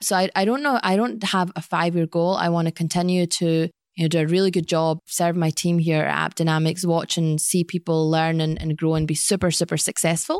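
A woman with a Glaswegian accent talks at a fairly quick pace with hardly any pauses, fairly even intonation and a fairly low pitch. Her loudness stays very even, and the sound is dry and close with no echo. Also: very clean recording, silent background. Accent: Glaswegian Scottish. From Scotland, Glasgow. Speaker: sales executive. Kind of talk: interview. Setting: office boardroom.

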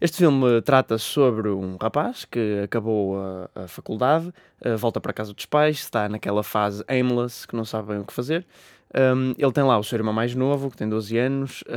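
A man speaks fairly quickly with a European Portuguese accent and ordinary pitch variation. The recording is very clean, with a silent background and a dry, close sound with no echo. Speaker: film podcast co-host. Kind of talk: casual chat. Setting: studio.

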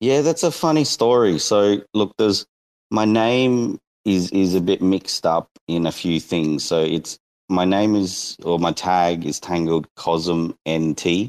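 A man with an Australian accent speaks very slowly in a very deep, low voice, his pitch moving in an ordinary way and his loudness staying very even. The recording is very clean with a silent background, and the sound is dry and close with no echo. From Northern Territory, Australia. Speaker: NFT game creator. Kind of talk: casual chat.

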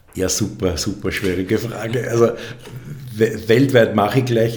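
In a room with audible echo, a man talks fairly slowly at a fairly low pitch. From Upper Austria (Mühlviertel). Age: 40s. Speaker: architect. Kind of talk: interview. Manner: halting, many repetitions and fillers.

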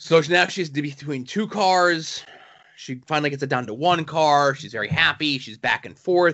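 A man with an ordinary speaking voice talks at a moderate pace and a fairly high pitch, with ordinary pitch variation and big swings in loudness. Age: 30s. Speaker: comic book podcast co-host. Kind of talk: casual chat.

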